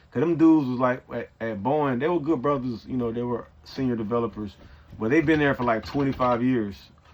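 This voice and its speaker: With an American accent and a medium pitch, a man speaks at a fairly quick pace with ordinary pitch variation. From Georgia, US South. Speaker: software developer and coding coach. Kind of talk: casual vlog monologue. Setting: in an RV.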